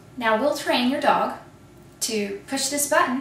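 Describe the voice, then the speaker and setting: A woman's lively intonation stands out despite noticeable background noise. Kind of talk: TV commercial read.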